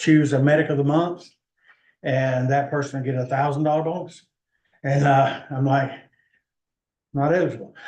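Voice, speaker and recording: Audible room echo surrounds a man with a fairly high pitch who talks at a moderate pace in a monotone, flat delivery with long, frequent pauses. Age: 60s. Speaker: EMS service manager presenting to county commission. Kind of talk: public meeting presentation. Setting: county commission meeting.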